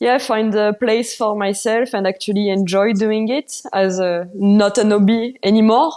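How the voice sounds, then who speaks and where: At a moderate pace, a woman with a French accent speaks in a medium pitch with fairly even intonation and a dark, mellow tone, on a very clean recording with a silent background. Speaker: mountain bike racer. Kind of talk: podcast interview.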